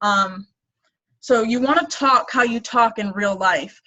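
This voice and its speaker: A woman speaks in a normal speaking voice. It sits fairly high, with ordinary pitch variation. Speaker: fitness business coach. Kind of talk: team training call.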